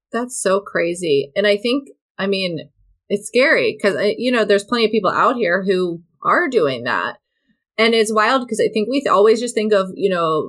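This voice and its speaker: This woman has an unremarkable speaking voice, medium in pitch, with ordinary pitch variation at a moderate pace. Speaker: dietitian and podcast host. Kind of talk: casual chat.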